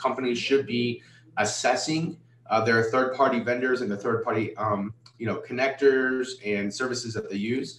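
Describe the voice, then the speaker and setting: A man with a medium pitch and ordinary pitch variation speaks over noticeable background noise. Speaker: cybersecurity company founder, former government hacker. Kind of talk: virtual conference talk with Q&A. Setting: virtual conference. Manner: fast; halting, many fillers.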